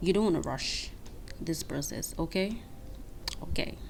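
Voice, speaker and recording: A woman speaks with fairly even intonation. Music plays in the background, and room echo is audible. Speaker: beauty vlogger. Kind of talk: tutorial.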